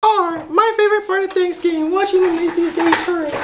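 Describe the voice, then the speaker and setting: A woman does a put-on character voice, squeaky and extremely high in pitch. She talks at a very fast pace. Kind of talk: comic sketch acting. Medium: comedy sketch. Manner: sweet, chirpy, repetitive.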